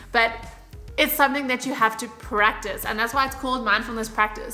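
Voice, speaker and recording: An animated tone with ordinary pitch variation, music in the background. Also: woman. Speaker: fitness and lifestyle YouTuber. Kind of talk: casual vlog talk to camera. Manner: chatty, animated.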